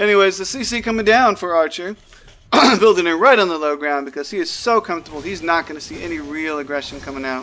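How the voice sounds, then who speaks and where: The speech goes at a very fast pace. Background noise is noticeable. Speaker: esports caster. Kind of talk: live commentary. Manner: quiet.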